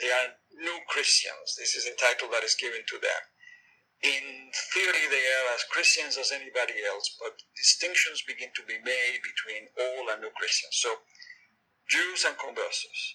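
A man speaks at an even, moderate speed while music runs underneath. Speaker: professor. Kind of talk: interview answers, academic explanation.

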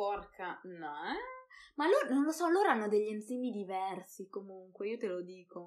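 A woman's animated tone at medium pitch, with lively intonation and a moderate pace. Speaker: podcast host. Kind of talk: casual chat. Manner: animated, laughing.

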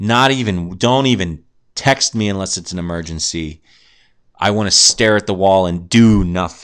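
A man speaks with a very deep, low pitch. His pace is moderate and his pitch varies in an ordinary way. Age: 20s. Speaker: podcast host. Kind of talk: casual solo monologue. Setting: in a car. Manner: animated.

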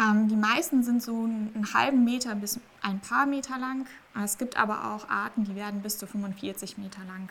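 A woman with a fairly high pitch speaks in an unremarkable speaking voice at a moderate pace, with ordinary pitch variation and big swings in loudness. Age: 20s. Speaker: marine biology PhD student and research diver. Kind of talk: interview.

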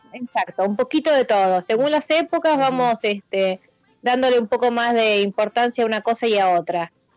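In a Rioplatense accent, a woman speaks at a moderate pace and fairly high pitch with ordinary pitch variation and very even loudness, the sound dry and close with no echo, and music in the background. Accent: Argentine Spanish (rioplatense). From Argentina, Bahía Blanca. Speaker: cook and restaurant owner. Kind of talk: interview.

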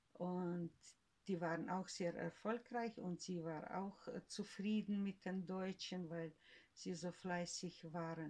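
The pace is very slow. The intonation stays fairly even. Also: woman, medium pitch for a woman. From Siberia, Russia. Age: 70s. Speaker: grandmother, eyewitness of family history. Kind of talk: oral history interview. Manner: halting.

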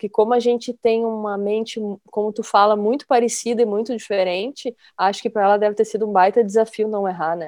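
At a moderate pace, a woman with an ordinary speaking voice and a fairly high pitch talks against a quiet background. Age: 50s. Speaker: podcast host, journalist. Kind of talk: casual chat.

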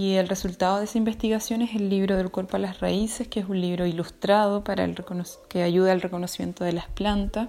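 Her voice is medium in pitch, monotone and flat, as the woman speaks at a fairly quick pace. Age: 30s. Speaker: social researcher and traditional midwife. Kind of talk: interview. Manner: halting with fillers.

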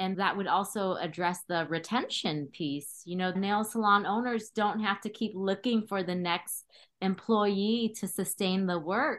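With a normal speaking voice, a woman at medium pitch talks at a fairly slow pace with ordinary pitch variation and hardly any pauses. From Cambodia, raised in California. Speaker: guest podcast host, public health director. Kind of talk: interview hosting. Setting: remote call.

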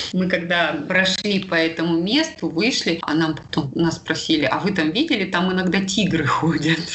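A woman speaks at a fairly low pitch, with fairly even intonation, very even loudness and hardly any pauses. Audible room echo and noticeable background noise surround her voice. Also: moderate pace. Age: 40s. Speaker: yoga instructor. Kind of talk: casual interview.

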